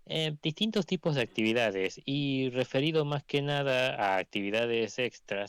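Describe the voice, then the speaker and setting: The recording is very clean, with a silent background and a dry, close sound with no echo. A man talks at a fairly slow pace with ordinary pitch variation. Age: young. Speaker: aspiring journalist, monarchist movement member. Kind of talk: interview self-introduction. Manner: halting, many self-corrections.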